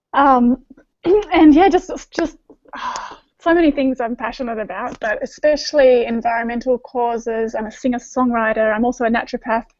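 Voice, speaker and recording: In an Australian accent, a woman speaks at a high pitch with ordinary pitch variation. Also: moderate pace. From Australia (east coast). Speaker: naturopath and singer-songwriter. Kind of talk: panel video chat. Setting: video call.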